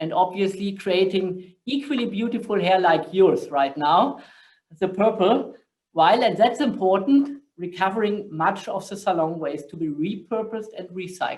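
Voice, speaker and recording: The speaker has a German accent, ordinary pitch variation, and big swings in loudness. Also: man, high pitch for a man, moderate pace. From Germany. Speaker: corporate sustainability director, panel moderator. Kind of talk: panel discussion moderation.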